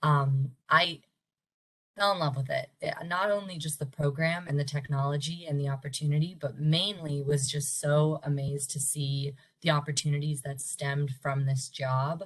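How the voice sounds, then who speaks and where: This woman's voice sits at a very deep, low pitch and sounds somewhat breathy. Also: fairly even intonation, moderate pace. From Pittsburgh, Pennsylvania. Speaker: campus recruiter. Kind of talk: workshop presentation.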